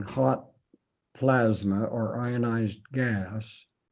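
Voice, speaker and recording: The man's voice carries a dark, mellow tone. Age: 80s+. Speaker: retired physics professor. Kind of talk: interview.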